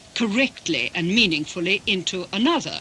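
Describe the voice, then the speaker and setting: Against noticeable background noise, a woman with a Russian accent speaks in a medium pitch. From England, Russian émigré family. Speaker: interpreter. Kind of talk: interview.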